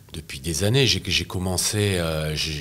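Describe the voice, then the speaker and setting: Over noticeable background noise, a man talks at a fairly slow pace in a very deep, low pitch with ordinary pitch variation. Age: 60s. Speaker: press photographer. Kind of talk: interview. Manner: hesitant, many fillers and repetitions.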